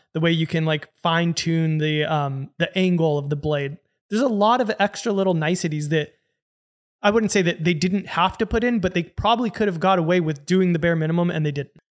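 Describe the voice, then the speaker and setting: In a very clean recording with a silent background, a man with a high voice talks at a fairly quick pace and ordinary pitch variation. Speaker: podcast host. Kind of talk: casual banter podcast.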